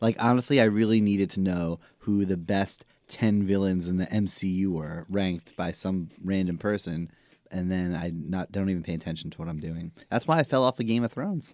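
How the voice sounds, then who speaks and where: A man with a Staten Island accent, very deep and low in pitch, at a fairly quick pace with ordinary pitch variation, on a very clean recording with a silent background. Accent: Staten Island New York. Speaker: podcast co-host. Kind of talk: casual chat.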